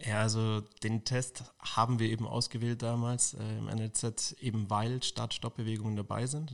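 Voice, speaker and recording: A man's fairly low voice in a flat monotone, on a very clean recording with a silent background. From Munich, Bavaria. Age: 20s. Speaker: football athletic trainer. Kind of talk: interview.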